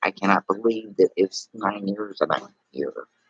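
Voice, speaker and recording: Bright and sharp in tone, a man's fairly low voice comes with a Texas accent. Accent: Texas drawl, moderate. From Texas (Houston, Gulf coast). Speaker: live streamer. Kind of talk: casual live stream chat. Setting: hospital, before surgery. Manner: rambling, halting.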